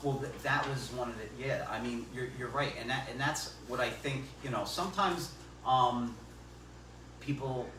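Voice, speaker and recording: Moderate pace from a man at medium pitch, with noticeable background noise and audible room echo. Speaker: local election candidate. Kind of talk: public forum discussion. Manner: loud; halting, repeats words.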